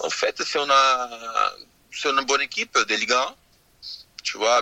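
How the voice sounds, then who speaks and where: A Portuguese accent over noticeable background noise. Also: man, dry, close sound with no echo. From Brazil. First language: Portuguese (speaking French). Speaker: former footballer. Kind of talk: radio interview. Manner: halting, frequent 'tu vois'.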